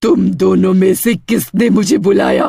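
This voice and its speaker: A man puts on a cartoonish character voice. It is raspy and high in pitch. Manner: eerie, threatening.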